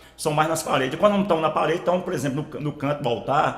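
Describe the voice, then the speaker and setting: Pitch varies in an ordinary way, with audible echo from the room and noticeable noise in the background. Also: man. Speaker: audio tutorial youtuber. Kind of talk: tutorial. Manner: casual, repetitive filler.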